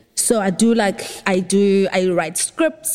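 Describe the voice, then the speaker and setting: Speaking at a very slow pace, a woman has a medium pitch and ordinary pitch variation. Noticeable background noise can be heard. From South Africa, Eastern Cape (Port Elizabeth). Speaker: film and TV producer. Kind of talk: casual interview chat.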